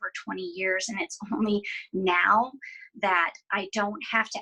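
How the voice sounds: Against a quiet background, a natural reading voice moves with fairly even intonation.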